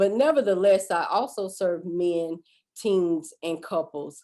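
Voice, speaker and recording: A woman with a Southern US accent speaks very slowly in a fairly low, dark, mellow voice. Her pitch varies in an ordinary way. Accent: Southern drawl. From US South, south Georgia (Valdosta). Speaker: life coach and former family therapist. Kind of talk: webinar talk. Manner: drawn-out words; halting, many fillers.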